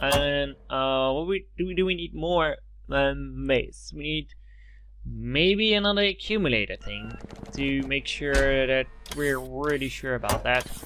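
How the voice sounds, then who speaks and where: Someone speaks at a fairly slow pace with long, frequent pauses over noticeable background noise. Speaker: gaming video creator. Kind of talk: let's play gameplay commentary. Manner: halting, many fillers.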